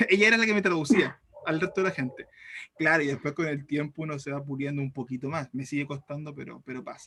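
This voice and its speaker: Pitched fairly high, a man talks very fast with big swings in loudness. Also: ordinary pitch variation. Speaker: teacher. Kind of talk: lecture.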